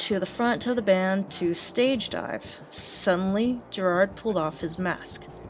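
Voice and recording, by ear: Natural-voiced reading aloud, its pitch varying in an ordinary way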